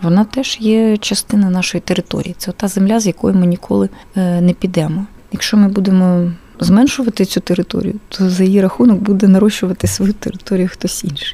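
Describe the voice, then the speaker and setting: Speaking at a fairly quick pace with a Russian accent, a woman holds a medium pitch and fairly even intonation. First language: Russian (speaking Ukrainian). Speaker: film archive director. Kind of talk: radio interview.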